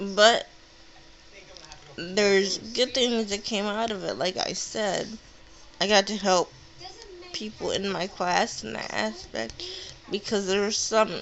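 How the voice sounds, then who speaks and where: A woman's very slow speech comes through over noticeable background noise. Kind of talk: casual personal vlog monologue. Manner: halting, self-correcting.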